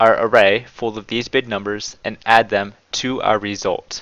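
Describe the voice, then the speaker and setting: A bright, sharp tone at a moderate pace. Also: man. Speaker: programming tutor. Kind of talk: coding tutorial. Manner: casual.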